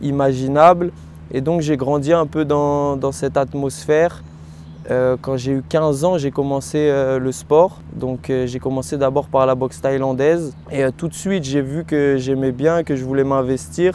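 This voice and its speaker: At a fairly slow pace, a man with a medium pitch speaks using lively intonation. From France, Rennes (Brittany). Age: 20s. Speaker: professional kickboxer. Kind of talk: testimony. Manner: hesitant, frequent fillers.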